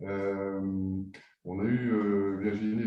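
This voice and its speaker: Audible room echo surrounds a man as he talks. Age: 60s. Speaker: business founder. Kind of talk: webinar discussion. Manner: halting, many hesitations.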